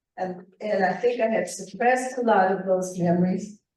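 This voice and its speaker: Room echo is audible as a woman talks. She speaks at a medium pitch and a moderate pace. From northern New Mexico. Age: 70s. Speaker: author and retired sociology professor. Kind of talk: presentation to writers' group.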